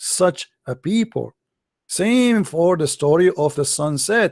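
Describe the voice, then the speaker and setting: A man with an Arabic accent speaks very slowly in a high voice with lively intonation, the sound dry and close with no echo. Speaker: religious debater. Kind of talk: heated debate. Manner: animated.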